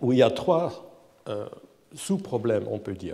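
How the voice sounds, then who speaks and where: A man with a non-native accent speaks at a very slow pace in a dark, mellow tone. His pitch swings very widely, and there is audible room echo. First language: not French (speaking French). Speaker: professor, AI researcher. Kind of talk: lecture. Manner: halting, repeats words.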